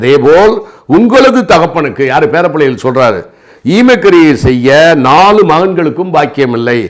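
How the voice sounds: A man speaks at a fairly high pitch. His voice shows big pitch swings. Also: moderate pace.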